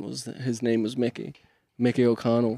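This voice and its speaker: Set against a very clean recording with a silent background, a man's dark, mellow voice sits at a medium pitch and moves at a moderate pace. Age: 20s. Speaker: podcast co-host, tradesman. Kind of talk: casual chat. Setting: garage.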